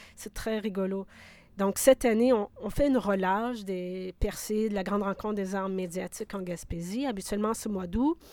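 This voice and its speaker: Moderate-paced talk in an ordinary speaking voice, pitch varying in an ordinary way. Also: woman, medium pitch for a woman. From Quebec (Abitibi, Bas-Saint-Laurent). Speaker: sound artist and curator. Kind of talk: interview.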